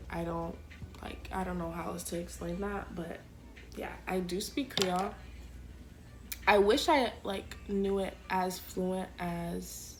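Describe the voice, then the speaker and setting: Speaking at a very slow pace with long, frequent pauses, a woman with an American accent is heard amid audible room echo. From Florida, Orlando. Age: 20s. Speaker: college student vlogger. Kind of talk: casual get-ready-with-me vlog. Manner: chatty, filler-heavy.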